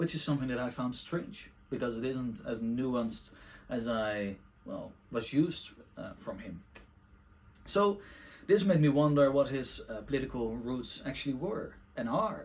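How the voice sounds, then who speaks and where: Here a man speaks with lively intonation. Audible room echo surrounds his voice. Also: medium pitch for a man, moderate pace. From Netherlands. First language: Dutch. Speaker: book reviewer / video essayist. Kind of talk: casual monologue book review. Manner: halting, many fillers.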